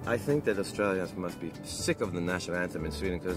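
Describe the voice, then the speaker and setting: Over clear background music, a man talks at a very fast pace in a very deep, low pitch, the sound dry with no echo. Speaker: interviewee. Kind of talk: interview answer. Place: car.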